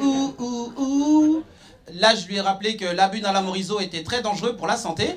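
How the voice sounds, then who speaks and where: A man's high-pitched voice at a moderate pace, over light background noise. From Nyon, Switzerland. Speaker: stand-up comedian. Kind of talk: stand-up comedy. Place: stage. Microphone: handheld.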